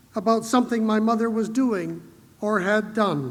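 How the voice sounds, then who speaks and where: Audible room echo around a man's high voice, fairly slow in pace. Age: 60s. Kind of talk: conference keynote speech. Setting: stage with audience.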